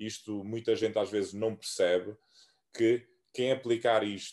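A man's medium-pitched voice at a fairly slow pace, with fairly even intonation over a quiet background. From Cape Verde, Santiago island. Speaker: American football player. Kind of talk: casual interview. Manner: halting.

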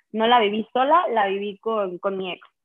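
A woman with a medium pitch and an unremarkable speaking voice, at a fairly slow pace. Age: 20s. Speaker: business student. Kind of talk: interview.

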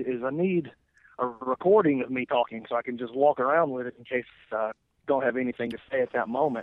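A man speaks with an Alabama accent. His pace is fairly quick and his pitch varies in an ordinary way. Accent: Southern US (Alabama). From US South, Lawrence County, Alabama. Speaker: jiu-jitsu competitor and podcaster. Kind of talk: casual chat.

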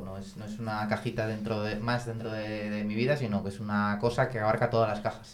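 A man talks fairly quickly in a fairly low, monotone voice with flat intonation. Noticeable background noise and audible room echo surround him. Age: 30s. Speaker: engineer, parishioner. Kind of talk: casual chat. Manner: halting, with frequent repetitions.

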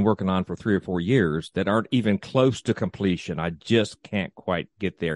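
An unremarkable speaking voice: a man with an American accent, fairly low pitch, ordinary pitch variation and a moderate pace, in a dry, close sound with no echo. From US South, East Tennessee. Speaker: tourism podcast host. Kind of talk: event announcements; interview.

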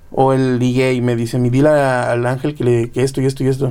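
A man speaks in a medium-pitched voice with a dark, mellow tone. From Mexico, Guadalajara. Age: young. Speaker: drummer. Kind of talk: casual chat.

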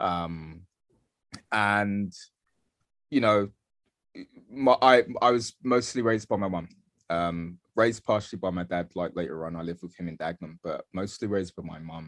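A man with a very deep, low voice speaks in a London accent, with ordinary pitch variation, big swings in loudness and long, frequent pauses. The sound is dry and close with no echo, against a quiet background. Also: moderate pace. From London, Bethnal Green (East London). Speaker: artist and film director. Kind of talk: interview. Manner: halting, many fillers.

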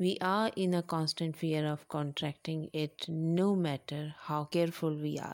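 A woman's very deep, low voice in a Pakistani accent, monotone and flat, at a fairly slow pace with hardly any pauses, in a dry, close sound with no echo. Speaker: poet reading her own haiku. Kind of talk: reading aloud with commentary. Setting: remote recording, self-isolating at home.

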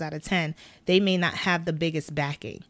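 A woman's fairly low voice with a New York accent and fairly even intonation, in a very clean recording with a silent background. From Brooklyn, New York. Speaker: wardrobe stylist and costume designer. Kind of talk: casual interview. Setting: studio.

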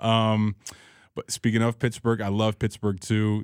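A man with an American accent and a fairly low voice at a moderate pace, an unremarkable speaking voice, dry and close with no echo, in a very clean recording with a silent background. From Chicago, US Midwest. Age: 30s. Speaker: radio sound producer and DJ. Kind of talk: casual chat.

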